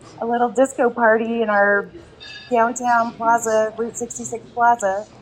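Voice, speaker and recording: There is noticeable background noise behind this woman. She speaks at a moderate pace with fairly high pitch. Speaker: community event organizer. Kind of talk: casual interview chat. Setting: live podcast at a restaurant. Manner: animated.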